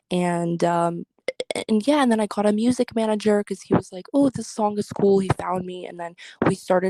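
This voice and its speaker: A woman speaks with a dark, mellow tone and ordinary pitch variation. The sound is dry and close, with no echo. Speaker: content creator and singer. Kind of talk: interview. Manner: casual, filler-heavy.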